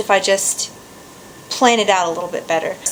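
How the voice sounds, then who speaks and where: A woman's pitch varies in a normal way while noticeable noise sounds behind her. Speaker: vlogger. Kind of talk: casual vlog to camera. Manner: fast; reading from outline notes.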